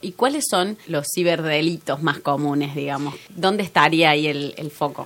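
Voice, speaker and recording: With an Argentine accent, a woman speaks at a very deep, low pitch with fairly even intonation and hardly any pauses. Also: moderate pace. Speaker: podcast host. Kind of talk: interview; scripted narration.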